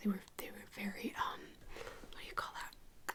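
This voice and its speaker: Whispering, a woman speaks against noticeable background noise. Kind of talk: ASMR soft-spoken talk to camera. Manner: soft-spoken.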